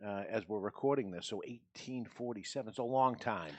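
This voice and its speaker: With a New England accent, a man speaks at a medium pitch with ordinary pitch variation. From New England, US. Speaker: podcast panel host. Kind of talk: casual chat. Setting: studio with live audience.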